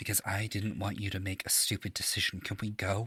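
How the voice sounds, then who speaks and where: A man's put-on character voice, fairly low-pitched, with flat, monotone intonation and very even loudness. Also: fairly quick pace. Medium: actual play. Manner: terse, clipped.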